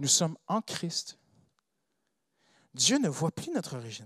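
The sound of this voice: A man with a non-native accent speaks slowly at a fairly high pitch, his bright, sharp tone carrying a slightly husky edge and big pitch swings, in a dry, close sound with no echo. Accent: non-native French, foreign-accented.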